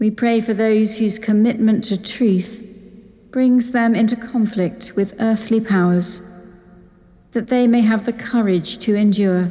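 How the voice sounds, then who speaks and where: Over background music, a woman speaks at a fairly slow pace in a fairly high pitch, her intonation monotone and flat and her loudness very even. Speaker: priest. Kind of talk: liturgical prayer.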